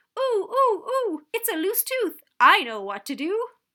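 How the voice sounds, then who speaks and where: In a put-on character voice, a woman squeaks at an extremely high pitch, going at a fairly slow pace. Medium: read story.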